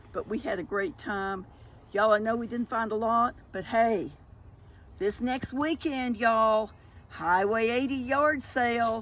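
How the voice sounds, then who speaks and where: A woman's fairly high voice in a Southern US accent, with ordinary pitch variation at a fairly slow pace. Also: very clean recording, silent background. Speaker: thrift vlogger. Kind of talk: casual chat.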